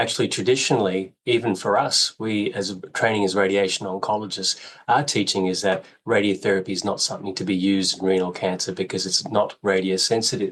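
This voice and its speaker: A man speaks with an Australian accent. His voice is fairly low, with fairly even intonation. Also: fairly quick pace. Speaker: radiation oncologist. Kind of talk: interview.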